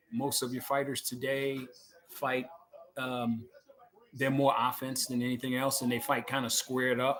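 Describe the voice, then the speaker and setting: A man with a medium pitch speaks at a moderate pace, noticeable background noise behind him. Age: 60s. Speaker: boxing coach and podcast host. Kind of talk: casual commentary. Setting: at home. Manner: halting, many fillers.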